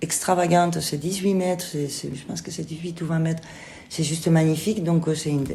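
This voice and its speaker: There's noticeable background noise and audible room echo. A woman with a slight Spanish accent speaks at a fairly low pitch with fairly even intonation. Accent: slight singing Spanish. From Spain. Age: 50s. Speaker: theatre director and actress. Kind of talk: interview. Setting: theatre kitchen room. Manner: hesitant, many fillers.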